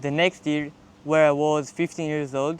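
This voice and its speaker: With an Israeli accent, a man speaks at a moderate pace in a fairly high pitch. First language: Hebrew. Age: 20s. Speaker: college athlete and vlogger. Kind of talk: casual vlog monologue.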